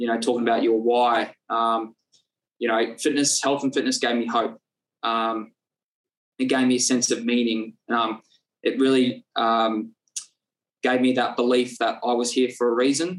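Pausing long and often, a man with an Australian accent speaks at very even loudness with monotone, flat intonation. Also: medium pitch for a man, moderate pace. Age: 20s. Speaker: personal trainer and nutritionist. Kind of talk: casual interview chat. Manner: halting, many fillers.

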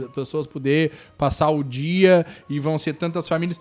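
Here a man is speaking. His voice is fairly high in pitch. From Torres, Rio Grande do Sul, southern Brazil. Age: 30s. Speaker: municipal tourism secretary. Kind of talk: casual interview chat. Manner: animated, informal.

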